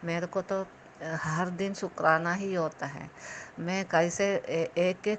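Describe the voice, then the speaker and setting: A woman speaks at a fairly low pitch. Her intonation stays fairly even. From South India, Kerala. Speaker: devotee sharing testimony. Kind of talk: testimony. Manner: halting, many fillers.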